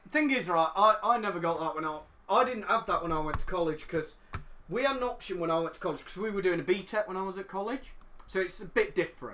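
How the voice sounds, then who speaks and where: A man speaks in a raised, projected voice with an English accent, his pitch high and its variation ordinary. He talks at a very fast pace over noticeable background noise. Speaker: podcast co-host. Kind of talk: casual chat.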